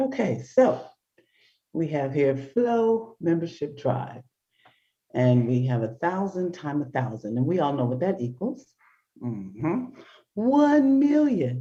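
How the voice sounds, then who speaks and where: Slow-ish and broken by long, frequent pauses, a woman's very deep, low voice sounds somewhat breathy with a dark, mellow tone and very wide pitch swings. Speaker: talk show host. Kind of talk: casual chat. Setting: video call from home. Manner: soft-spoken. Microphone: poor internet connection.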